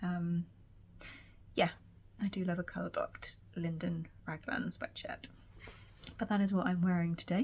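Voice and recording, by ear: A woman speaks at a fairly slow pace with a fairly low pitch, a slightly mellow tone, little pitch movement, and long, frequent pauses.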